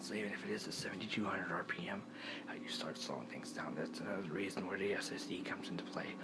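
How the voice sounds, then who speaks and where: Someone whispers at a very fast pace. The background noise is noticeable. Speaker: tech vlogger. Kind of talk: casual tech explainer monologue. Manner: speaking quietly; halting, many fillers.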